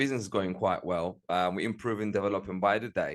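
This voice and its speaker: Against a quiet background, a man with a Turkish Cypriot accent talks at a very fast pace, his fairly low pitch showing ordinary variation. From Northern Cyprus. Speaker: music promoter and entrepreneur. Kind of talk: interview.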